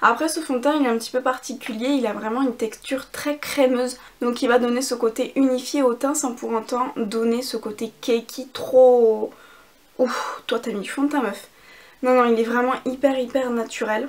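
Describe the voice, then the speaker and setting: The woman has a high-pitched voice. Her intonation is monotone and flat, at a moderate pace. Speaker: beauty youtuber. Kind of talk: casual chat with makeup tutorial.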